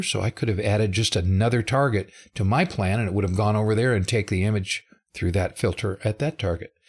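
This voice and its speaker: A man's fairly low, somewhat breathy voice. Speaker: software developer presenting a live webinar. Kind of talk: live tutorial webinar.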